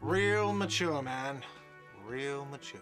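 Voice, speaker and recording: Shouting in a whiny, put-on character voice at a medium pitch, a man is heard with an audible echo and music in the background. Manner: shouting, sarcastic.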